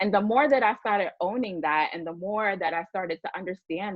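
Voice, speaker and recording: A woman speaks with a Bronx accent. Her intonation is lively. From New York, the Bronx. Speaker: diversity and inclusion leader. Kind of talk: panel discussion.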